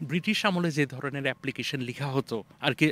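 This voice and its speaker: The voice is a man's, fairly high-pitched with a bright, sharp tone. Its pitch varies in an ordinary way, and the sound is dry with no echo. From Bangladesh, Dhaka; Bangladesh. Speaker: university professor. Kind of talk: interview. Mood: friendly, smiling. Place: open country. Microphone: handheld.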